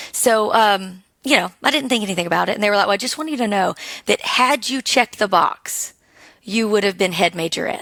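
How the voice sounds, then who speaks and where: A woman with an Alabama accent talks at a fairly quick pace, her medium-pitched voice moving through ordinary ups and downs, in a very clean, dry, close recording with a silent background and no echo. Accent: charming Alabama. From Alabama, small town. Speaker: business owner, military spouse. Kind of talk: podcast interview.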